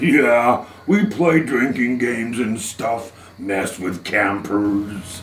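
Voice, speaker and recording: Putting on a character voice, a man speaks very slowly at a medium pitch with ordinary pitch variation over clear background noise. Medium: audio drama. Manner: easygoing, joking.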